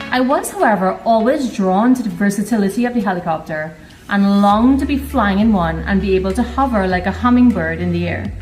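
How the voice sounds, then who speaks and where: Amid noticeable background noise and audible room echo, a woman talks at a fairly quick pace with hardly any pauses and ordinary pitch variation. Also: medium pitch for a woman. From Trinidad, rural Biche. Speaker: helicopter pilot. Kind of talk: personal narration.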